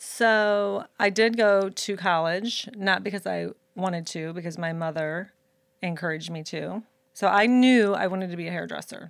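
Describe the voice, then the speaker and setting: A woman with an American accent and an unremarkable speaking voice, medium pitch, ordinary pitch variation and moderate pace, in a very clean recording with a silent background. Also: big swings in loudness. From Saint Louis, Missouri. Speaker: hairdresser and educator. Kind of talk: casual chat. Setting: live stream.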